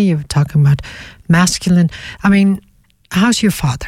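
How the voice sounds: With a Dutch accent, a woman speaks at a moderate pace in a fairly low, somewhat breathy voice that has a dark, mellow tone and ordinary pitch variation.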